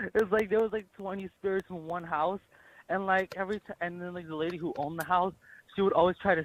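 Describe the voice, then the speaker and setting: The speech comes at a very fast pace. The intonation stays fairly even. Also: man. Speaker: prank call target. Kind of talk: casual phone chat. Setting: phone call. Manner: fast, rambling with many fillers.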